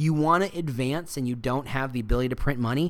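A man is speaking. He has a medium pitch. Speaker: podcast host on employer branding. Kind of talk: solo monologue podcast. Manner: casual, goofy.

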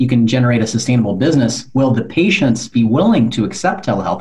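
Somewhat breathy, a man with an American accent speaks in a medium pitch with lively intonation. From California. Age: 40s. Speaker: podcast host. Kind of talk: interview.

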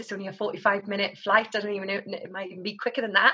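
Bright and sharp in tone, a woman at medium pitch sounds energetic. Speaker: counselor and training provider founder. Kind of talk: interview. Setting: studio.

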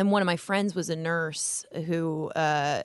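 Spoken with an American accent, this is a plain, everyday voice with fairly even intonation. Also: woman. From Las Vegas, US. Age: 30s. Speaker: comedian. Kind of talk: casual chat. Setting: studio.

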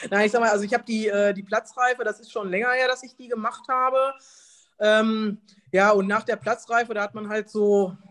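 A woman with an unremarkable speaking voice talks at a fairly high pitch with fairly even intonation against a quiet background. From Germany, Detmold (East Westphalia). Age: 40s. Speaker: tax advisor and amateur golfer. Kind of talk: casual interview. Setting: video call.

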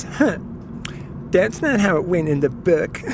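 In a put-on character voice at a middle pitch, the speaker sounds whiny, moving at a moderate pace against clear background noise. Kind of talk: teasing mimicry. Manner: whining, complaining.

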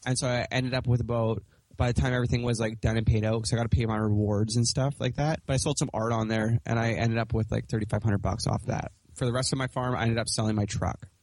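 A man with a Western Canadian accent talks at a very fast pace in a medium-pitched voice. His intonation is fairly even and his loudness very even. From Canada, British Columbia. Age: 20s. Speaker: urban farmer. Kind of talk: interview conversation.

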